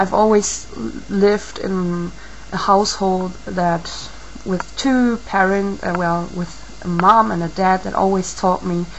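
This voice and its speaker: A woman with a non-native accent speaks at a fairly slow pace, her medium pitch held in fairly even intonation. Noticeable background noise runs underneath. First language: not English. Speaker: video blogger. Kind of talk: video response monologue. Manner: halting, many fillers.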